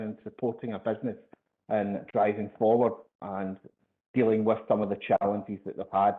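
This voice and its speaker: A man with a Glasgow accent speaks at a fairly quick pace. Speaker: sales executive presenting a webinar. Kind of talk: webinar presentation. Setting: online webinar. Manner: hesitant, many fillers and repetitions.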